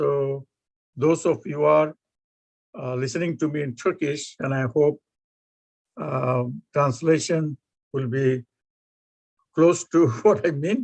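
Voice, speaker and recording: Against a quiet background, with a dry, close sound and no echo, a man with a Bengali accent speaks very slowly at a fairly high pitch, with ordinary pitch variation and long, frequent pauses. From Bangladesh. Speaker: professor. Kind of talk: lecture.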